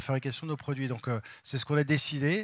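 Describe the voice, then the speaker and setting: Recorded very cleanly against a silent background, a man is heard speaking. His pitch is medium and his pace moderate. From France, Val d'Oise. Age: 50s. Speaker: company executive. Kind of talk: interview. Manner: halting.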